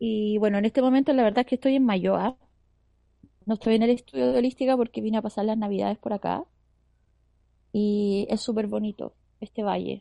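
Delivered at a fairly quick pace with long, frequent pauses, the voice has a dark, mellow tone and ordinary pitch variation, heard dry and close with no echo over a quiet background. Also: woman, fairly high pitch for a woman. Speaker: radio host. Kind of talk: casual chat. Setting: outside the studio.

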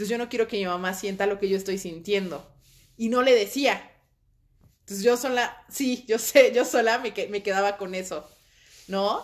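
With long, frequent pauses, a woman speaks at medium pitch with ordinary pitch variation. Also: moderate pace. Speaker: podcast co-host. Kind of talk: casual chat.

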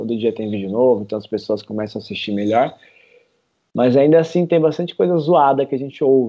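This is a man with an ordinary speaking voice. His pitch is medium, with ordinary pitch variation. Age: 30s. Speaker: parkour instructor. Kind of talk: interview.

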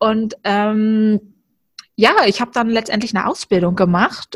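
Somewhat breathy and fairly high in pitch, a woman speaks at a fairly slow pace with a dry, close sound with no echo. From Germany, Berlin. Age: 30s. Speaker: coaching team member. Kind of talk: casual interview chat.

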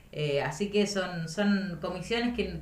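A woman at a moderate pace, amid noticeable background noise and audible room echo. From La Pampa, Argentina (north-east, Intendente Alvear). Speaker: provincial legislator. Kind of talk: interview. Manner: halting, many repetitions and fillers.

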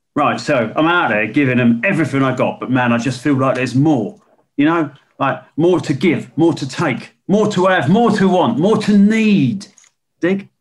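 A man drawls in a put-on character voice at a fairly high pitch. His intonation is lively and his pace moderate. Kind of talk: dark comedy. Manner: laid-back hipster drawl, peppered with "dig".

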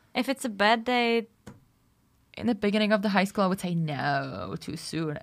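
Lively intonation and long, frequent pauses mark a woman speaking at medium pitch. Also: moderate pace. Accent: Czech. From Czech Republic. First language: Czech. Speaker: podcast co-host. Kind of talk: casual chat.

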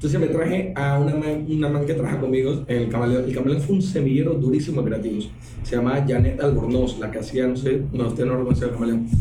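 A man speaks very fast at a medium pitch. Background noise is noticeable, along with audible room echo. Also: ordinary pitch variation. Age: 40s. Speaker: cartoonist and TV comedy producer. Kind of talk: casual interview.

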